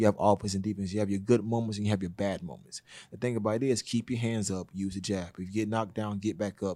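A man talks at a very fast pace, his fairly low voice dark and mellow in tone with fairly even intonation. The recording is very clean, with a silent background. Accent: Southern US. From US South, Georgia. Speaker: boxing coach and security business owner. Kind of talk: casual interview.

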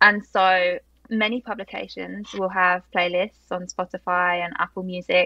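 A woman with a London accent speaks at a medium pitch and a fairly slow pace, her intonation flat and monotone. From South London, England. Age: 20s. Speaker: PR agency founder. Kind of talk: interview conversation.

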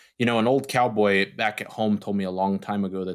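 This is an ordinary speaking voice with an American accent, fairly even intonation and a fairly quick pace. The recording is very clean, with a silent background. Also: man. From US Southwest, eastern New Mexico. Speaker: beef nutrition professor. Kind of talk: interview.

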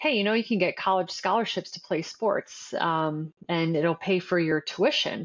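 With hardly any pauses, a woman talks at a moderate pace in a medium pitch, her intonation lively and her loudness very even. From Canada, Windsor, Ontario. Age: 40s. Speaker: marketing agency founder, former college athlete. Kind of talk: interview.

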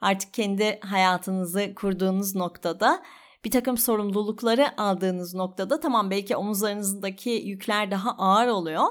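A woman speaks in an unremarkable speaking voice at a moderate pace, with medium pitch and ordinary pitch variation. She hardly pauses, and the recording is very clean with a silent background. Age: 30s. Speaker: podcaster. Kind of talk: personal monologue.

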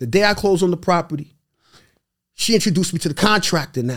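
Talking at a very fast pace in a New York accent, a man with a high voice sounds animated, his intonation lively. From New York City (Brooklyn, Queens). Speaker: real estate investor. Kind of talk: casual chat.

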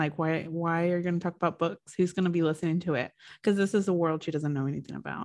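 A woman with a fairly low pitch talks at a very fast pace with fairly even intonation. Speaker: podcast host. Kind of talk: casual chat about a book. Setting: video call.

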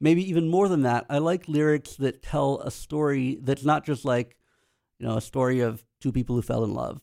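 This man has an ordinary speaking voice at a fairly high pitch. He talks at a moderate pace with ordinary pitch variation. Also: dry, close sound with no echo. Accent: American. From US, Pennsylvania (Lancaster County). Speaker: computer science professor and bass player. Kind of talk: casual interview.

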